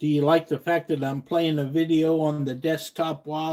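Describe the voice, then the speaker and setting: A dark, mellow tone with monotone, flat intonation at a moderate pace. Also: man. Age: 60s. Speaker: fishing YouTuber. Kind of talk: casual live stream chat.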